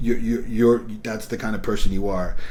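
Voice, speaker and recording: With an American accent, a man talks at a moderate pace and fairly even intonation. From New York. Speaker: independent filmmaker. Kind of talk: interview. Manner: halting.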